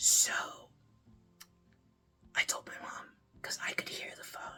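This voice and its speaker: Someone is whispering at a fairly slow pace. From South Africa. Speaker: YouTube creator on internet safety. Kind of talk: casual talk to camera.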